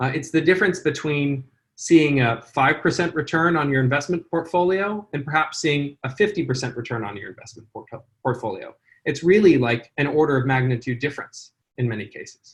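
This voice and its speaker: A man with an American accent talks at a fairly quick pace, his fairly high pitch showing ordinary pitch variation. His voice is somewhat breathy, with big swings in loudness. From California. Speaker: charity founder and CEO. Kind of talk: interview. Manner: hesitant, many fillers.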